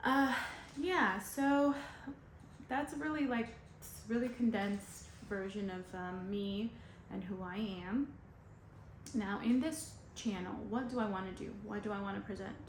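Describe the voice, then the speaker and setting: A woman speaks at a medium pitch and a fairly slow pace, with ordinary pitch variation and long, frequent pauses. Audible room echo and noticeable background noise surround her. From US East Coast, Dominican family. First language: Spanish. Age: 40s. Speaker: vlogger. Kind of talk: casual vlog introduction. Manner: casual, hesitant with fillers.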